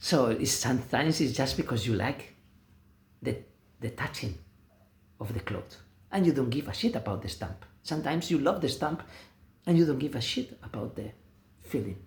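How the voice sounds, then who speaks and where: A man with a medium-pitched voice and a Spanish accent, speaking at a moderate pace with vocal fry. His intonation is lively, broken by long, frequent pauses. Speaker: vlogger. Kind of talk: casual monologue. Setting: self-filmed video, no music. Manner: halting.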